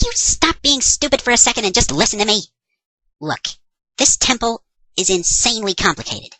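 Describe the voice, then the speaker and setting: A female-sounding put-on character voice moves at a fairly quick pace. Long, frequent pauses break up the delivery. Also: fairly high pitch for a woman. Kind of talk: comedy parody dub. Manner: sarcastic, exasperated.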